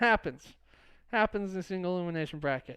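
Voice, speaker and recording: Against a quiet background, a man talks at a fairly quick pace. His pitch is high, with ordinary variation. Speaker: esports podcast co-host. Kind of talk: casual chat. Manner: fast.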